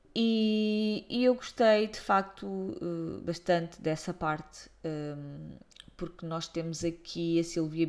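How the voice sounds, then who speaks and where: In a European Portuguese accent, a woman speaks at a fairly low pitch. Her pitch variation is ordinary. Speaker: book blogger. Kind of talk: book review monologue. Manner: hesitant, many fillers.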